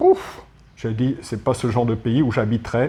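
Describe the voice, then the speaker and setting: A man's medium-pitched voice has a dark, mellow tone and is somewhat breathy. His intonation stays fairly even. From France, Paris. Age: 60s. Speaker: retired expat. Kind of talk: interview.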